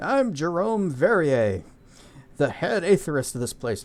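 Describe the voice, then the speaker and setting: A man puts on a wheezy character voice, high in pitch with very wide pitch swings, at a moderate pace. The recording is very clean, with a silent background. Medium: game stream.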